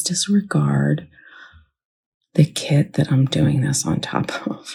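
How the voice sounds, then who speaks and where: A woman speaks quietly at a very slow pace. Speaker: crafting YouTuber. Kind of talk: casual craft vlog chat. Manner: talking quietly.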